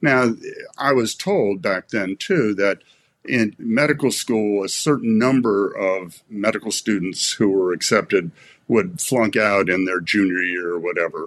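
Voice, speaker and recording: A man with a normal speaking voice and an American accent talks at a fairly slow pace. His pitch is fairly low with ordinary variation, and the background is quiet. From US East Coast, Maryland. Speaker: veterinarian and former foundation director. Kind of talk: casual interview conversation.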